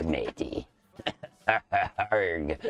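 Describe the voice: Doing a put-on character voice, a man speaks at a very deep, low pitch.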